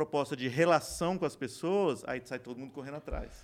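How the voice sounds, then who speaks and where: A man talks fairly quickly in a normal speaking voice, his pitch fairly high and varying in an ordinary way. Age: 50s. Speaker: company co-founder and CEO. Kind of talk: casual interview. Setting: studio.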